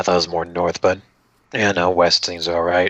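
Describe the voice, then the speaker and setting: Putting on a character voice, a man speaks at a moderate pace in a very deep, low pitch that sounds raspy. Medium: actual play. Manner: wry, suspicious.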